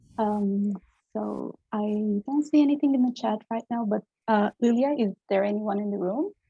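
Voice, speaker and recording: The voice is somewhat breathy, in a Turkish accent. It moves at a moderate pace with ordinary pitch variation. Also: woman, fairly high pitch for a woman. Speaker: symposium moderator. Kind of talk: Q&A moderation.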